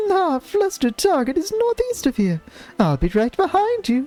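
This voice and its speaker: A man puts on a squeaky character voice at a moderate pace while music plays in the background. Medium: game stream. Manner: chatty, eager.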